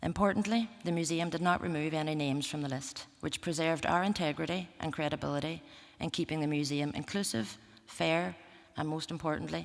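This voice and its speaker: In a Northern Irish accent, a woman speaks at a fairly quick pace with a very deep, low pitch. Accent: Derry Northern Irish. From Northern Ireland. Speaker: museum representative. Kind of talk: conference talk. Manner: formal.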